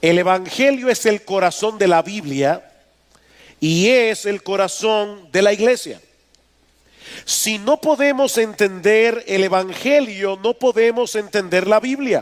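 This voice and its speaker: A man talks at a very slow pace. His voice is high-pitched with ordinary pitch variation. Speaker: pastor. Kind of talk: sermon.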